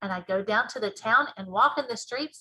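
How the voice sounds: The clip features a voice. It is a natural reading voice.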